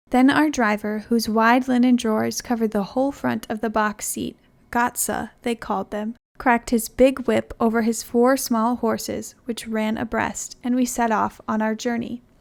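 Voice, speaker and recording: In a very clean recording with a silent background, a woman with a fairly high pitch speaks at a moderate pace in a calm tone and a monotone, flat intonation. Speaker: narrator. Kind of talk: audiobook narration. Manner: calm, relaxing.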